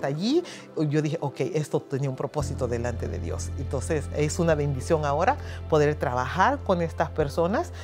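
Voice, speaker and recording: A woman with a Honduran accent speaks at a moderate pace, her very deep, low pitch making very wide swings. Clear music plays in the background. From Honduras. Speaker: church and community liaison for immigrants. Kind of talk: interview answer. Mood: earnest, grateful. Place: office. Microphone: lapel.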